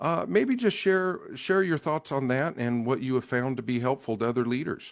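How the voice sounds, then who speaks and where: Here a man speaks with a Midwestern American accent at a medium pitch. His pace is moderate, and the background is quiet. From Nebraska. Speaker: podcast host. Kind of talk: podcast interview. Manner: halting, with repeated words.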